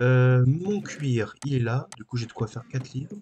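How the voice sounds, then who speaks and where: A soft-spoken man whispering, somewhat breathy. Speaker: gaming YouTuber. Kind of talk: let's play gaming commentary. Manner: soft-spoken, near whisper; halting.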